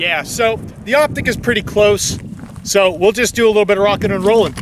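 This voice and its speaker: A loud man talks at a fairly quick pace, high in pitch for a man, with ordinary pitch variation. Noticeable background noise runs behind him. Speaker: gun channel host. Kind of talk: casual tutorial. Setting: outdoors.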